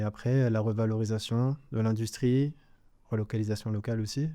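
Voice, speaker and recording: At a fairly quick pace, a man talks with a medium pitch, ordinary pitch variation and a dark, mellow tone against a quiet background. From Guadeloupe. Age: 20s. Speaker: engineer and company cofounder. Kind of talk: podcast interview. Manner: hesitant, many fillers.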